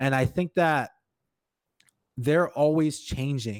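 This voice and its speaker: On a very clean recording with a silent background and a dry, close sound with no echo, a man with a slight Hawaiian accent speaks at a fairly high pitch. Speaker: sports event coordinator and podcast host. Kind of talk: interview conversation.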